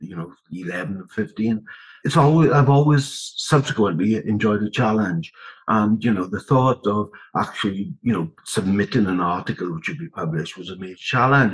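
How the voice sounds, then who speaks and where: A man with a South Wales Valleys accent speaks at a fairly low pitch. His intonation is lively, and his loudness swings a lot. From south Wales (Rhondda). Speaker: education researcher. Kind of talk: interview about research.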